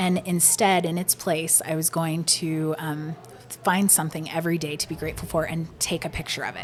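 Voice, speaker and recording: A woman's fairly low pitch, monotone, flat intonation and fairly quick pace amid noticeable background noise. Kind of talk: casual interview chat.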